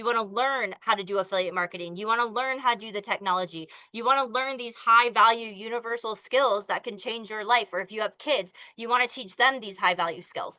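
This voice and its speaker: A woman with a fairly high pitch speaks in an animated tone that is bright and sharp, using ordinary pitch variation. She moves at a fairly quick pace, with big swings in loudness. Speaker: online business coach. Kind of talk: sales pitch. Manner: fast.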